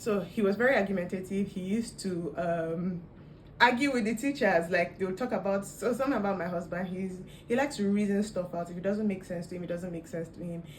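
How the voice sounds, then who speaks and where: With noticeable background noise and audible room echo, a woman of medium pitch speaks at a fairly quick pace with ordinary pitch variation. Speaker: vlogger. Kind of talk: casual storytelling vlog.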